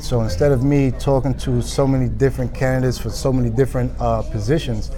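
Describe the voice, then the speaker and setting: Amid noticeable background noise and audible room echo, a man speaks very quickly. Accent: New York. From New York. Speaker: recruiter. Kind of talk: interview. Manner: casual.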